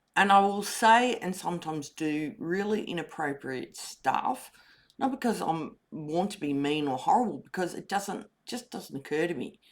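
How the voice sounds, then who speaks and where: A woman with an Australian accent speaks at a fairly slow pace in a fairly low voice, her intonation lively, on a very clean recording with a silent background. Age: 60s. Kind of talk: personal testimony.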